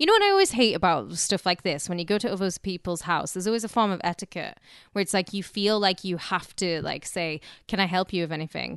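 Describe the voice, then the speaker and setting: Talking at a very fast pace, a woman has medium pitch and a British accent. The background is quiet. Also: ordinary pitch variation, dry, close sound with no echo. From Britain. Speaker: podcast co-host. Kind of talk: casual comedy banter.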